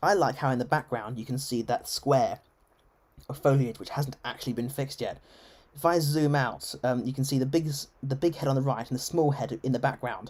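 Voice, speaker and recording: Someone speaks at a fairly quick pace with an English accent. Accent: English, received pronunciation. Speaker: game streamer. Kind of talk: live gameplay stream chat. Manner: formal register; halting, many self-corrections.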